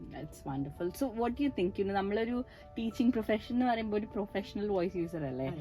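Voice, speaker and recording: Lively intonation with music in the background. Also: woman, medium pitch for a woman. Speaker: speech therapist. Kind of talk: interviewer questions.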